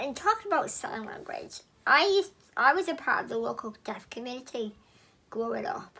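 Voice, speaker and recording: With an English accent, a woman speaks at a high pitch, her pitch swinging very widely and her loudness rising and falling in big swings. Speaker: YouTuber sharing personal story. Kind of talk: personal vlog testimony. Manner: slow; careful, deliberate articulation.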